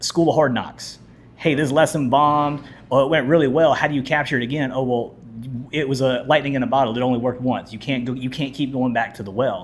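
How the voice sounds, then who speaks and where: A man talks at a very fast pace. His intonation remains fairly even. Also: medium pitch for a man. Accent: American. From US South (Mobile, Alabama). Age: 40s. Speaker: teacher and coach. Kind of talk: interview conversation.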